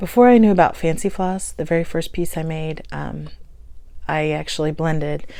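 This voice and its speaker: A woman with a Midwestern US accent has a very deep, low voice and ordinary pitch variation at a moderate pace. Audible room echo surrounds her. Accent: US Midwest. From Kansas. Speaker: stitching vlogger. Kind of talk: casual show-and-tell vlog. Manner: casual, with frequent um fillers.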